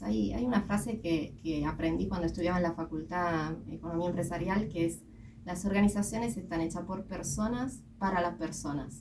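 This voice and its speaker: A woman with a fairly low voice talks at a fairly quick pace with lively intonation, and audible room echo is present. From Italy. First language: Italian (speaking Spanish). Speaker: company executive. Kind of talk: radio interview.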